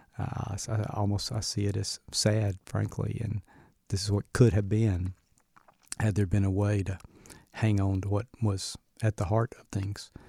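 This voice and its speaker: A man with a Southern US accent speaks in a dark, mellow, somewhat breathy tone with flat, monotone intonation and long, frequent pauses, recorded very cleanly with a silent background and a dry, close sound with no echo. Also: fairly low pitch for a man, moderate pace. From US South, Birmingham, Alabama. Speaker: university president. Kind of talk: interview.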